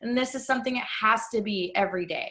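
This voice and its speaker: Delivery is at a moderate pace with ordinary pitch variation. The tone comes across bright and sharp. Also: woman. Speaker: online money mindset coach. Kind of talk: online workshop lesson.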